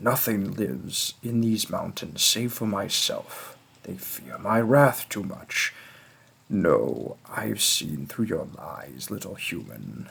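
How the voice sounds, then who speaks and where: Speaking at a very slow pace, a man puts on a character voice. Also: fairly low pitch for a man. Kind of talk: role play audio addressed to the listener. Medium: audio drama.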